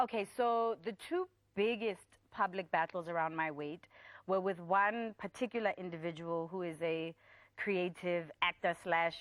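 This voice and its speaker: A woman talks in an animated tone with lively intonation, captured with a dry, close sound and no echo. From US Northeast, Providence, Rhode Island; moved to South Africa at 16. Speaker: poet and TV presenter. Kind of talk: talk show interview.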